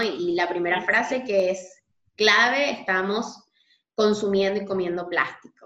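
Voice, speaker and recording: A woman talks in a normal speaking voice at a fairly slow pace. Her intonation is fairly even. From Venezuela. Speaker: podcast host. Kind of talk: casual interview.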